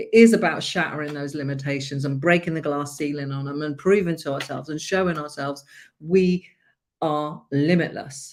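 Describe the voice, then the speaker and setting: This delivery comes with a British accent. It moves at a medium tempo. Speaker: life coach. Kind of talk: live stream motivational talk. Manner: loud; animated.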